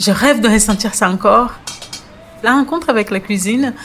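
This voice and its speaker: A woman with a Portuguese accent speaks over noticeable background noise. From Brazil. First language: Portuguese (speaking French). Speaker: chef. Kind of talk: personal testimony.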